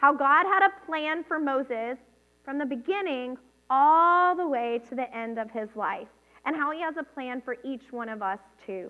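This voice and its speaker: A woman with an American accent, high pitch, animated tone and lively intonation at a moderate pace. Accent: southern US accent, comes out at times. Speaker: children's ministry leader. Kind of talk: children's sermon.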